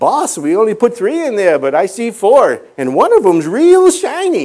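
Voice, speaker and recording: This is a put-on character voice pitched fairly high. The pace is moderate. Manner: impression of a cartoon voice.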